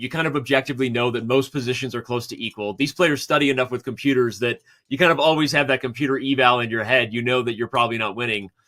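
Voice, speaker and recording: A man's bright, sharp voice at a very fast pace, fairly even in intonation, with hardly any pauses and a very clean recording over a silent background. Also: medium pitch for a man. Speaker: chess commentator. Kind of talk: live commentary.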